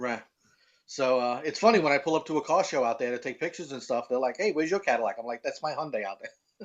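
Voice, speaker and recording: Speaking very fast in a Brooklyn accent, a man uses a fairly high pitch and lively intonation. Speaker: car enthusiast and website owner. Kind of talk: casual chat.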